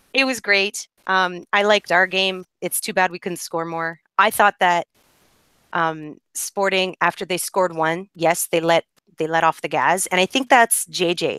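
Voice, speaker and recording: At a fairly slow pace, a woman speaks at medium pitch with ordinary pitch variation and a bright, sharp tone, the sound dry and close with no echo. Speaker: football podcast host. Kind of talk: casual chat. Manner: animated.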